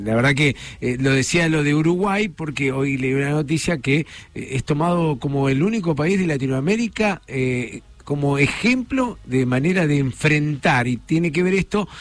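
A man speaks at a moderate pace with lively intonation and a fairly high pitch. He has a normal speaking voice. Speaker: radio host. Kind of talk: radio magazine show, interviews.

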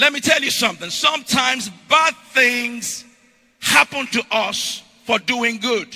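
A man's extremely high pitch with ordinary pitch variation, at a fairly slow pace. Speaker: pastor. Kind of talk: rousing call-and-response sermon, congregation shouting back. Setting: church with live congregation. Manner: loud, repetitive exhortation, hammering phrases over and over; rhythmic escalating cadence, breathless run-on climaxes.

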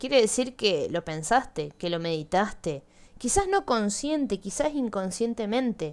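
Her pitch swings very widely. The woman keeps to a fairly slow pace. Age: 20s. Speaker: podcast host. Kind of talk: personal monologue.

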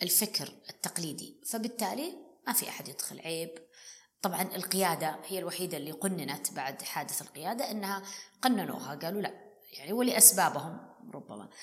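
A woman of medium pitch speaks at a moderate pace, animated in tone and lively in intonation. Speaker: business executive and financial consultant. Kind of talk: interview conversation.

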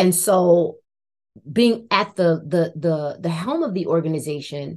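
A woman with an American accent uses an ordinary speaking voice at a fairly low pitch and a fairly slow pace, against a quiet background. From New Jersey, Irvington near Newark. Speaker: education advocacy CEO, former science teacher. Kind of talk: interview.

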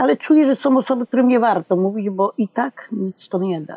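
A woman with a plain, everyday voice speaks at a moderate pace and medium pitch, with lively intonation. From Poland, small village. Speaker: retiree, mother of LGBT child. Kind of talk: interview.

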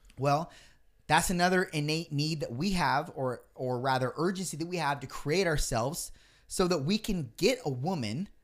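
Over a very clean recording with a silent background, a man with an unremarkable speaking voice talks at a fairly high pitch and moderate pace with lively intonation. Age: 30s. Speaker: podcast host. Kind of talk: casual chat.

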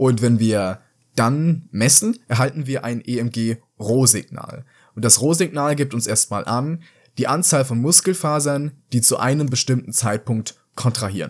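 A man speaks in a normal speaking voice at a medium pitch with ordinary pitch variation and a fairly slow pace, recorded very cleanly against a silent background. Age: young. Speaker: psychology student. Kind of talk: explanatory interview.

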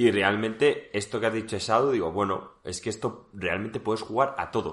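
A man speaks at a fairly low pitch, with ordinary variation in his pitch. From Seville, Spain. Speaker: podcast co-host. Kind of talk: casual chat.

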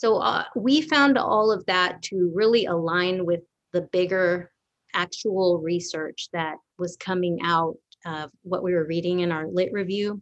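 A woman talks in a plain, everyday voice at a fairly slow pace. Her pitch is fairly low, with ordinary pitch variation. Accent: American. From Dallas area, Texas (Garland). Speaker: education consultant, former bilingual teacher. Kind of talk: casual interview chat.

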